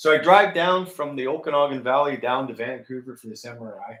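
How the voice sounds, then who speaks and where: A man speaks with a Canadian accent. His pace is fairly quick. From Canada. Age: 60s. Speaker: ex-military operating engineer. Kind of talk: casual storytelling chat. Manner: animated.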